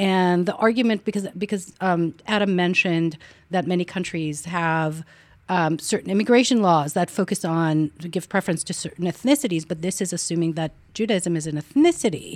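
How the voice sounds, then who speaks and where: A woman with an Israeli accent, fairly low in pitch, at a moderate pace in a very clean recording with a silent background. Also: ordinary pitch variation. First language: Hebrew. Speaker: political science professor. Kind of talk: academic panel discussion.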